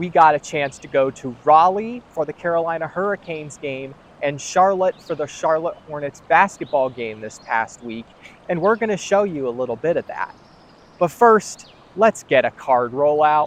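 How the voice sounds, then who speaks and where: A fairly high-pitched man talks at a moderate pace with lively intonation and big swings in loudness. The sound is dry and close with no echo, though noticeable background noise is present. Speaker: sports video host. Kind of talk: sports news commentary.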